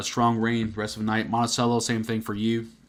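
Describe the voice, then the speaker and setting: A man's medium-pitched voice at a moderate pace. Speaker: weather forecaster on a livestream. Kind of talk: live weather coverage with chat replies. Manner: casual, conversational, with fillers.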